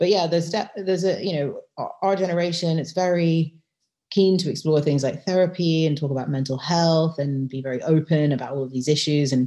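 A woman with a British accent speaks at a fairly quick pace in a very deep, low pitch, her tone dark and mellow and her pitch variation ordinary. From UK. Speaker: lawyer and novelist. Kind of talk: interview.

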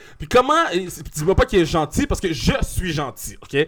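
A man speaks at a high pitch. His voice makes very wide pitch swings. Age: 20s. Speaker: comedian. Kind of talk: casual chat.

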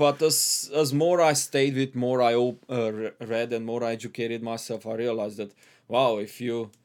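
A man of medium pitch with a Hungarian accent talks at a moderate pace in a very clean recording with a silent background. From Transylvania, Romania (ethnic Hungarian). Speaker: immigrant guest. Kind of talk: casual interview. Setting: studio.

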